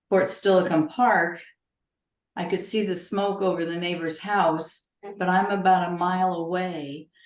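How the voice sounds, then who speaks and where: A woman with an American accent speaks at medium pitch and a fairly slow pace. Her intonation is fairly even, and audible room echo surrounds her. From Connecticut. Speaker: genealogy society member. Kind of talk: casual chat.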